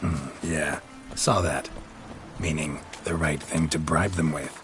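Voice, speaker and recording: A man puts on a character voice, very deep and low in pitch. He speaks at a fairly slow pace in a monotone, flat way, with clear background noise. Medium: short film. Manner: terse, deadpan.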